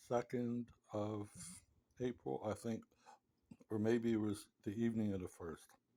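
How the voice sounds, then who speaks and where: A man speaks at a fairly slow pace in a dark, mellow tone. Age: 70s. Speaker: patient telling his story. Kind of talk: personal account monologue. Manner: conversational.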